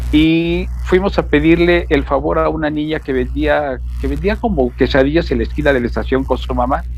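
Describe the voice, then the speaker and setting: At a moderate pace, a man talks with noticeable background noise behind him. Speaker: radio announcer. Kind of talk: interview answer.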